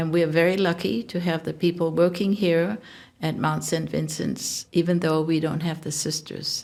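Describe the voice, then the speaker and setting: A woman's fairly low voice with vocal fry at a moderate pace, on a very clean recording with a silent background. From Hong Kong. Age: 80s+. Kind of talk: interview.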